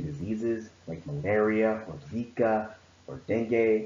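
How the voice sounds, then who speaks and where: Audible room echo surrounds a man speaking with a fairly low pitch. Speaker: presenter. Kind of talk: presentation talk. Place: home room. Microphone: webcam.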